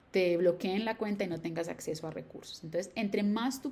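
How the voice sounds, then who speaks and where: A woman speaks at a medium pitch with lively intonation and a somewhat breathy quality. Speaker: educational YouTuber. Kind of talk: tutorial. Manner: fast.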